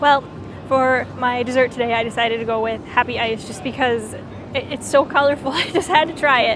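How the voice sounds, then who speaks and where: Amid crowd noise and audible room echo, a woman with a Minnesotan accent speaks high-pitched at a fairly quick pace. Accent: Minnesota. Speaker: travel vlogger. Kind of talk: casual vlog commentary. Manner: animated.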